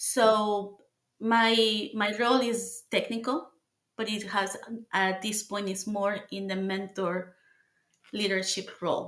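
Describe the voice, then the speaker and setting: A woman with a Mexican accent speaks at a very slow pace in a monotone, flat intonation. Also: medium pitch for a woman. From Mexico City. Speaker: engineer. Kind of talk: interview.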